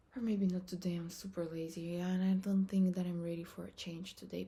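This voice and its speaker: A woman with a non-native accent speaks at a moderate pace in a medium-pitched, somewhat breathy voice with a dark, mellow tone. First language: not English. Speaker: vlogger. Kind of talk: casual vlog talk. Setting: bathroom.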